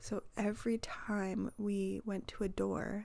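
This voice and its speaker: A soft-spoken woman's voice with a dark, mellow tone. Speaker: crafting YouTuber. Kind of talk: voiceover vlog. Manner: quiet, soft-spoken.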